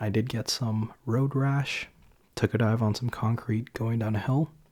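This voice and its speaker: A soft-spoken man talks at a fairly slow pace in a medium-pitched, dark, mellow, somewhat breathy voice. His pitch varies in an ordinary way on a very clean recording with a silent background. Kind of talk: ASMR soft-spoken ramble to camera. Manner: soft-spoken, chatty.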